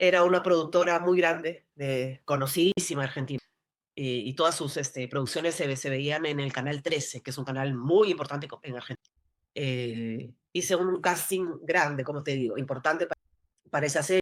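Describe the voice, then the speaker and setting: Ordinary pitch variation at a moderate pace, from a woman with a very deep, low pitch. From Peru, Lima. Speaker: actress. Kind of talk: interview conversation. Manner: halting.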